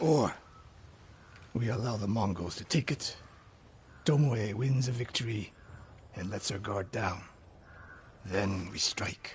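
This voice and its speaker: Putting on a raspy character voice at fairly low pitch, a man speaks at a fairly slow pace with long, frequent pauses, over clear background noise. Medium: video game. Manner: terse, grave.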